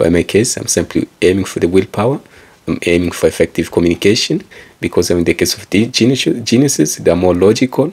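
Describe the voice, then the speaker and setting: Rushing at a very fast pace, a man with a fairly low pitch speaks with lively intonation. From eastern Congo. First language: Kikongo. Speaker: engineer and author, self-help speaker. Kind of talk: personal talk to camera. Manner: rambling, conversational with fillers.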